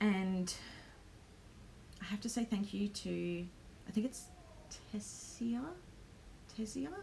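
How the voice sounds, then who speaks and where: Speech moves at a very slow pace with long, frequent pauses and ordinary pitch variation. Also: woman, medium pitch for a woman. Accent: Australian. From Australia. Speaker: planner vlogger and small business owner. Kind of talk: live stream vlog. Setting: home live stream. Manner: hesitant, many ums.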